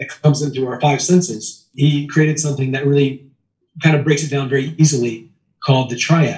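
Somewhat breathy and fairly high-pitched, a man speaks at a fairly quick pace with an American accent. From US, Maryland. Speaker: sales trainer. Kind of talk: casual chat. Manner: animated.

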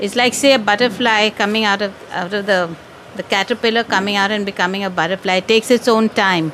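A woman talks at a very fast pace with fairly even intonation over noticeable background noise. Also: medium pitch for a woman. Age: old. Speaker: audience member asking question. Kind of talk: question to teacher.

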